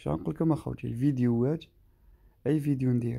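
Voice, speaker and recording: Over a quiet background, a man with an eastern Algerian accent speaks in a dark, mellow tone with ordinary pitch variation. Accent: Algerian Arabic, eastern Algeria. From Algeria, Skikda. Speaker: travel vlogger; driver vlogger. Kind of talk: vlog narration. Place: car. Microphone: phone near.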